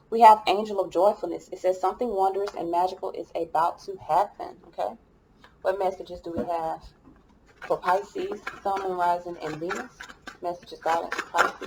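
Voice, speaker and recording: A woman at a moderate pace with fairly even intonation and big swings in loudness, over noticeable background noise. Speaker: tarot reader. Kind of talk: tarot reading. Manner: mumbling.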